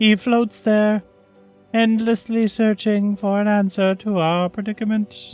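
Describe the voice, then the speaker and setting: In a put-on character voice, someone speaks at a fairly slow pace and fairly high pitch with monotone, flat intonation as faint music plays in the background. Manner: monotone, emotionless.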